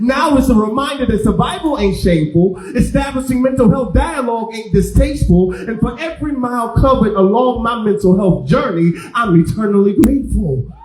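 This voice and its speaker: Over noticeable background noise, a man with a high pitch talks with lively intonation and hardly any pauses. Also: moderate pace. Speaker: spoken word poet. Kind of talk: live spoken word poetry performance. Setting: live venue with audience.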